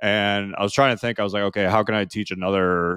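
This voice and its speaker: A man with an American accent, talking at a very fast pace in a flat monotone. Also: dry, close sound with no echo, quiet background. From US Midwest, small-town Ohio. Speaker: copywriter and entrepreneur. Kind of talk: casual interview chat.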